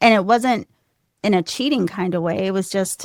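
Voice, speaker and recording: Soft-spoken, the woman has a medium pitch with ordinary pitch variation. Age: 40s. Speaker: wellness counselor and intuitive reader. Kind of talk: casual interview.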